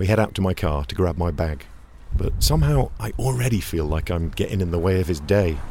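A man talks fairly quickly in a very deep, low voice with lively intonation while noticeable background noise carries on. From England. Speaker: podcast host. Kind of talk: narration. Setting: outdoors.

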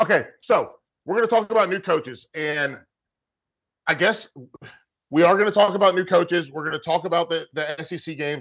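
A man talks fairly quickly in a high pitch, with ordinary pitch variation and long, frequent pauses. The background is quiet. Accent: American. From North Carolina (Charlotte, Fayetteville). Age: 30s. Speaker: college football podcast host, former college player. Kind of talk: casual sports chat. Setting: video call.

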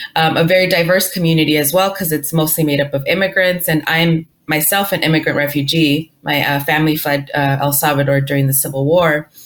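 A very fast pace with hardly any pauses, fairly even intonation, and a Spanish accent. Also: woman, very deep, low pitch for a woman, very even loudness. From Inglewood, Los Angeles, California. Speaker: financial literacy author and speaker. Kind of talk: interview conversation.

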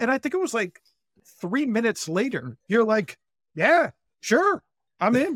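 Dry and close with no echo, a man's voice swings very widely in pitch. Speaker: podcast co-host. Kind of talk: podcast interview.

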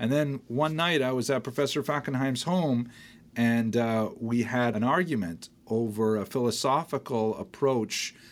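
On a very clean recording with a silent background, a man with a Canadian accent speaks in a plain, everyday voice at a medium pitch and a moderate pace, with ordinary pitch variation and very even loudness. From northern Ontario, Canada. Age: 60s. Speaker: historian and college dean. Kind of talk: interview storytelling.

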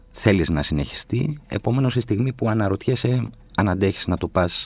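At a moderate pace, a somewhat breathy man speaks with lively intonation. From Athens, Greece (Exarchia). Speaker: novelist and screenwriter. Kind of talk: casual interview chat.

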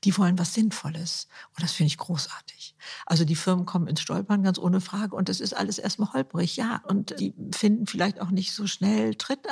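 A woman speaks in a medium pitch with vocal fry and ordinary pitch variation. Her moderate pace comes through in a dry, close sound with no echo. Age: 70s. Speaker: author and influencer. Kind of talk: interview.

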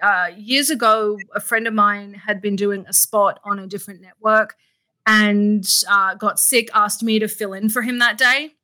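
A woman with an Australian accent speaks in a fairly high pitch with a bright, sharp tone, in a very clean recording with a silent background. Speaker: actress and radio host. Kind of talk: casual interview chat.

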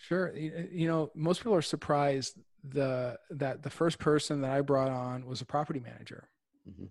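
In an Ontario accent, the speaker talks at a moderate pace with ordinary pitch variation and big swings in loudness. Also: man, fairly high pitch for a man. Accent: Canadian (Ontario). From Windsor, Ontario, Canada. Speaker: real estate investor. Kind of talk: interview.

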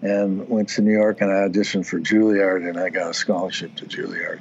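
Over noticeable background noise, a man talks at a moderate pace in a fairly low pitch with monotone, flat intonation. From US Pacific Northwest (Oregon, Washington). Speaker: dance, music and arts studio founder. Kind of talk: casual interview. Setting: video call.

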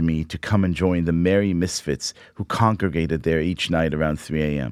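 A man with ordinary pitch variation in a dry, close sound with no echo. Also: very clean recording, silent background. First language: Hebrew. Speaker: podcast host. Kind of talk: reading aloud a personal essay.

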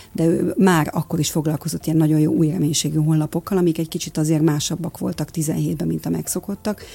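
Words pour out at a very fast pace, with hardly any pauses between them. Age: 50s. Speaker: lifestyle and nutrition coach. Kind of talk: radio interview.

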